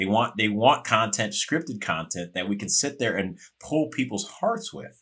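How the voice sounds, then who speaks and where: Heard against a quiet background, a plain, everyday voice with an American accent moves at a moderate pace with lively intonation. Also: man. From Chicago. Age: 40s. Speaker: actor. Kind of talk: podcast interview.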